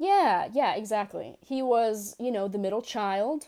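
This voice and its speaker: A woman with an American accent, at a very slow pace. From New York City, Bronx. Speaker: expert guest on New York. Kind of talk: casual interview chat. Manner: rambling, hesitant, humorous.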